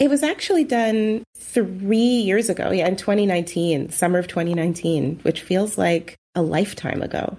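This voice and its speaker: With a Canadian accent, a woman talks in a medium pitch and a dark, mellow tone, her intonation lively and her speech running on with hardly any pauses. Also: moderate pace. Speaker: comedian and comedy writer. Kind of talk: casual interview chat.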